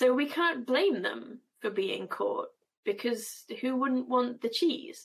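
In a British accent, a woman speaks at a very slow pace with vocal fry. Her intonation is lively. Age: 30s. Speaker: comics editor and cartoonist. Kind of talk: casual chat.

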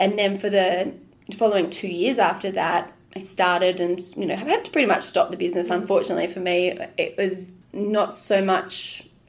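Speaking at a moderate pace and medium pitch, a woman with an Australian accent keeps her intonation fairly even. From Queensland, Australia. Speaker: food tour business owner. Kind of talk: casual interview.

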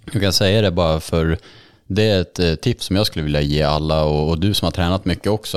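The man's pitch is very deep and low, with ordinary variation. The sound is dry and close, with no echo. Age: 30s. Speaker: podcast host. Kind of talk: casual chat.

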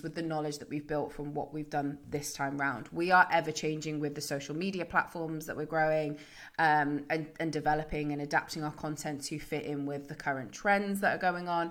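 Fairly quick and fairly even in intonation, a woman speaks in a very deep, low voice. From northern England. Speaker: podcast founder and entrepreneur. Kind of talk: interview.

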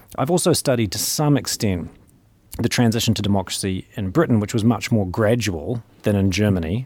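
A man talks with a New Zealand accent. His pitch is fairly low and his pace fairly quick. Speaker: interviewer and university professor. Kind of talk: interview conversation.

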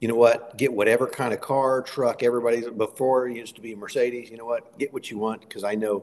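Talking at a fairly quick pace with hardly any pauses, a man speaks at medium pitch, his loudness swinging widely. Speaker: network marketing leader. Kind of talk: sales pitch. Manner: animated, hyped, rapid-fire.

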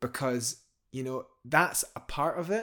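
A man with a Scottish accent, fairly high-pitched, lively in intonation, at a moderate pace, on a very clean recording with a silent background. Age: 30s. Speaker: professional climber. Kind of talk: interview conversation.

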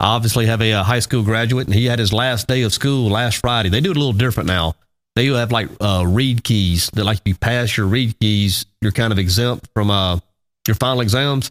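In a very clean recording with a silent background and a dry, close sound with no echo, a man with an Alabama accent talks fairly quickly at a medium pitch, with ordinary pitch variation and very even loudness. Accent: Southern US (Alabama). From US South, Alabama. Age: 40s. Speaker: radio show host. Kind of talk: casual morning show chat.

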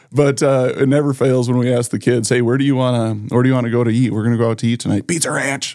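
A man with an American accent talks at a very fast pace with very even loudness and monotone, flat intonation. Noticeable background noise can be heard. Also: medium pitch for a man, hardly any pauses. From South Dakota, Sioux Falls. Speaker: financial planner and community volunteer. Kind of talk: casual interview.

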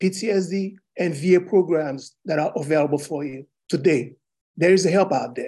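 Here a man talks at a moderate pace with a high pitch, ordinary pitch variation and a dark, mellow tone. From Haiti. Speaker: retired military veteran, minister. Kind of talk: testimony. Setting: video call.

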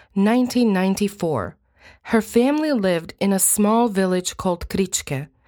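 Over a very clean recording with a silent background, a woman with a Croatian accent speaks at a moderate pace and medium pitch with lively intonation. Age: 30s. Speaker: true crime podcast host. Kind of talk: scripted narration.

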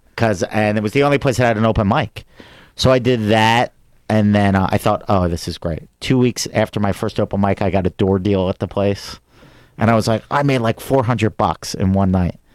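Speaking at a fairly quick pace with a Philadelphia accent, a man with a fairly low pitch and ordinary pitch variation is heard in a very clean recording with a silent background. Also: dry, close sound with no echo. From US Northeast, Philadelphia area. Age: 40s. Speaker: comedian. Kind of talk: casual chat.

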